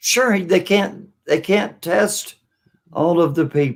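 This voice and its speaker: The man talks very slowly. There is ordinary variation in his pitch. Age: 60s. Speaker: political livestream host. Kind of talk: casual chat. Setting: live stream.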